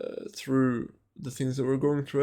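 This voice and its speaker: A man's fairly high-pitched voice with a non-native accent. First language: not English. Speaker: vlogger. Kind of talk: personal monologue. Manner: slow; halting, many fillers and repetitions.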